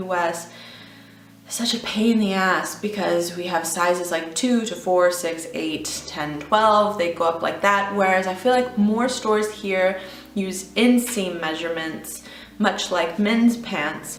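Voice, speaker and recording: Amid noticeable background noise, a woman at a medium pitch talks at a fairly slow pace. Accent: American. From Texas, USA. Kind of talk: casual talk to camera.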